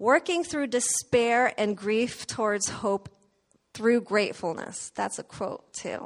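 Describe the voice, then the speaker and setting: This woman talks at a very slow pace. Her fairly high voice has lively intonation. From Indonesia. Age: 40s. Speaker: running coach and church sound technician. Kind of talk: church talk.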